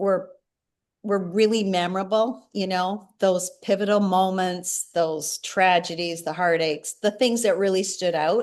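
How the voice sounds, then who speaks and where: A woman talks in a plain, everyday voice at a medium pitch. The background is quiet. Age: 60s. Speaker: singer-songwriter and memoir author. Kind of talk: interview.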